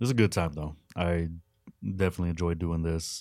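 In a very clean recording with a silent background, a man with a Texan accent talks at a fairly quick pace in a very deep, low voice. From West Texas. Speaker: podcast host. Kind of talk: casual chat. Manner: excitable.

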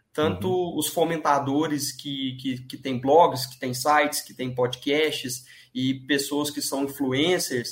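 A man speaks at a very slow pace with fairly high pitch and fairly even intonation. His loudness swings widely, and there is noticeable background noise. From Minas Gerais, Brazil (Divinópolis, near Belo Horizonte). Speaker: sports betting trader. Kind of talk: podcast interview.

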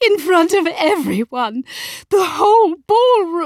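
A woman puts on a character voice at an extremely high pitch, and it sounds shaky. She talks at a fairly slow pace. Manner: outraged.

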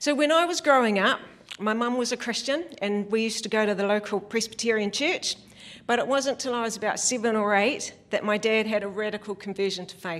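With a Southland New Zealand accent, a woman speaks at a fairly quick pace in a fairly high pitch with ordinary pitch variation. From New Zealand, Western Southland. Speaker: church elder, lay preacher. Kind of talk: sermon.

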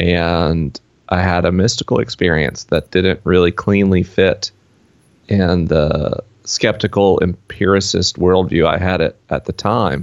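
This man's very deep, low voice carries a Southern US accent, moving at a fairly slow pace with fairly even intonation and very even loudness. The sound is dry and close, with no echo. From US South. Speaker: author and podcaster. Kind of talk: casual interview. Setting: video call.

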